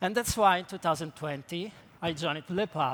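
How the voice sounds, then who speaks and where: Man with an Italian accent at a moderate pace. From Italy. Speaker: creative technologist. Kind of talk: conference talk.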